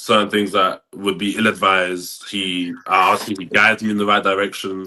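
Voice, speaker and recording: Against a quiet background, a man with a fairly low pitch talks at a fairly quick pace in a bright, sharp tone with monotone, flat intonation. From England (South London). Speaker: college football player. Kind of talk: podcast interview. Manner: halting, many fillers and repeats.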